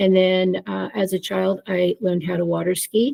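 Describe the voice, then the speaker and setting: With a dark, mellow tone, a woman talks at a fairly slow pace in monotone, flat intonation, the sound dry and close with no echo. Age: 70s. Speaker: retired social gerontologist, fibromyalgia patient. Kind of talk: casual interview. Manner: hesitant, many fillers.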